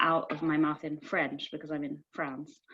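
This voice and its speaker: With a Yorkshire accent, a woman speaks at a moderate pace. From northern England, Sheffield. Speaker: poet. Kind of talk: panel discussion. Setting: video call. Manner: halting.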